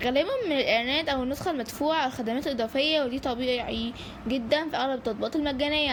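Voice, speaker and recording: A woman with an Egyptian accent talks at a high pitch with ordinary pitch variation, and noticeable background noise comes through. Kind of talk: casual app review to camera. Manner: light, joking, conversational.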